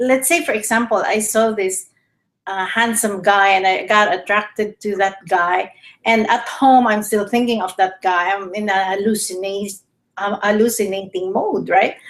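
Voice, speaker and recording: A woman speaks with a Filipino accent at a moderate pace. Her pitch is medium and her intonation fairly even. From Philippines. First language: Tagalog. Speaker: health show host. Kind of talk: casual chat. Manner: halting.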